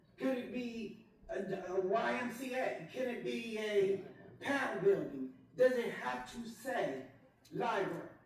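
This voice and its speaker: An animated tone over noticeable background noise. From US, New Jersey (local city). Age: 60s. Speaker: public commenter at city council meeting. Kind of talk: public comment at council meeting. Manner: animated, emphatic, repeating words.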